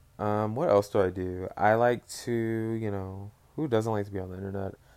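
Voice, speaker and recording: Moderate pace from a man with a fairly low pitch, on a very clean recording with a silent background. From Dallas, Texas. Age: 20s. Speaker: podcaster, recent college graduate. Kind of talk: casual solo chat. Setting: bedroom at home. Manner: rambling, casual, filler words.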